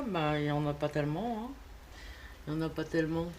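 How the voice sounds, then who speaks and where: This woman has a very deep, low-pitched voice. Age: 60s. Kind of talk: casual talk to camera.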